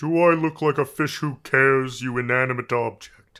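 A man's put-on character voice at a medium pitch and moderate pace. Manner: silky, menacing, condescending.

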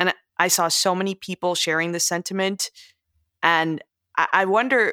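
A woman with a bright, sharp tone at medium pitch and moderate pace, in a very clean, dry, close recording with no echo and a silent background. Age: 30s. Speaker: podcast host. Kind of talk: interview conversation.

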